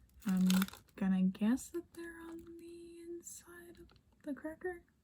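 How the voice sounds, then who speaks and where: Noticeable background noise surrounds this recording. A woman of medium pitch speaks very slowly. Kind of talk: ASMR unboxing, soft-spoken talk to camera. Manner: soft-spoken, whispery.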